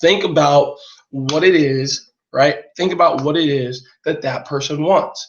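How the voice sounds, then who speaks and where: Somewhat breathy and fairly high-pitched, a man speaks fairly slowly with an American accent and fairly even intonation. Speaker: online marketing coach. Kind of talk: live webinar training.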